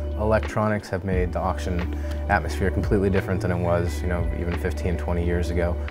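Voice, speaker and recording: Backed by clear music, the man speaks at a very fast pace. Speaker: lead auction coordinator. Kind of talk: business interview answer. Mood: friendly, relaxed. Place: shop. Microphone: lapel.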